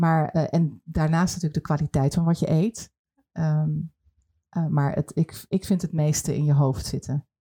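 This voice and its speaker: The sound is dry and close with no echo, the tone dark and mellow. The voice is somewhat breathy, with fairly even intonation and a fairly slow pace. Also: woman. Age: 40s. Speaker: podcast host and television producer. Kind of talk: casual interview.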